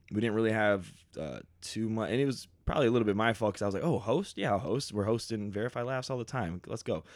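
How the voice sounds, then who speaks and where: On a very clean recording with a silent background, a man with a Southern US accent talks at a very fast pace. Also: medium pitch for a man, ordinary pitch variation. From US South, Beaufort, South Carolina. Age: 30s. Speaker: stand-up comedian. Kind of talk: casual chat. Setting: home studio.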